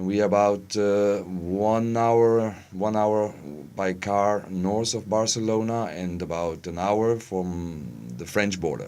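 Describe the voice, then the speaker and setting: A man with a fairly low pitch and ordinary pitch variation speaks at a very slow pace. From Germany. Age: 40s. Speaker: interviewee, expatriate resident. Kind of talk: interview. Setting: studio. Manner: halting, many fillers.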